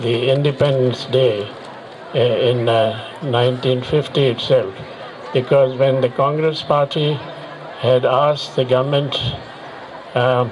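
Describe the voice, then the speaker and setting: A man speaks at medium pitch and a fairly slow pace, with monotone, flat intonation and long, frequent pauses. The recording has audible room echo and noticeable background noise. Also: very even loudness. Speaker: war veteran. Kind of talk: public speech. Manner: halting.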